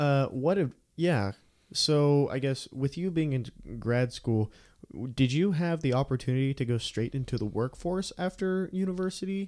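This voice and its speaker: On a very clean recording with a silent background, a man with an unremarkable speaking voice talks at a moderate pace, his fairly high pitch carrying lively intonation. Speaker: college radio podcast host and student. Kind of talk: casual interview. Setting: studio.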